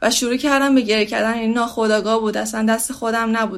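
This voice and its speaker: Speaking at a very fast pace, a woman keeps a fairly high pitch and fairly even intonation. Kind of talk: testimony.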